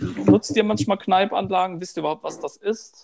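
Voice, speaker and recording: A man talks at a very slow pace. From Odenwald, southern Hesse (Birkenau). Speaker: podcast host. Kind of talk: casual chat.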